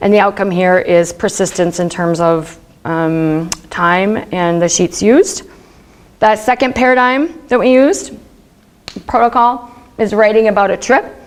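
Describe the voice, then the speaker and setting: A woman's medium-pitched voice with lively intonation amid noticeable background noise. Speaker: research psychologist. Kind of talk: academic talk. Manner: casual, filler-heavy; fast.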